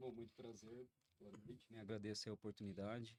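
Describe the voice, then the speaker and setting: Over a silent background, this very clean recording sounds dry and close, with no echo. A man talks fairly quickly with a fairly low pitch and monotone, flat intonation. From Jandira, São Paulo region, Brazil. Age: 30s. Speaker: accountant and pastor. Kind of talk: interview.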